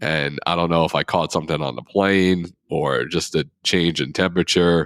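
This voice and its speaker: Someone speaks at a moderate pace with fairly even intonation and vocal fry. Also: man, very deep, low pitch for a man. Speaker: podcast co-host. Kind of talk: casual chat.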